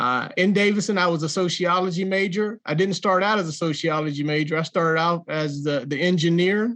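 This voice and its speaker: At a fairly quick pace and with hardly any pauses, a man speaks in a high voice with ordinary pitch variation and very even loudness. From North Carolina (Jacksonville). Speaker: entrepreneur and author. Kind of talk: interview.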